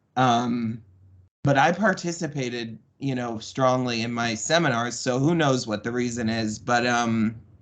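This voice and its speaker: Here is a man with a normal speaking voice and a medium pitch. He talks at a fairly slow pace with an American accent. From Florida, Tampa. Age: 30s. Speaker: podcast guest, boarding school survivor. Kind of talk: interview, personal testimony.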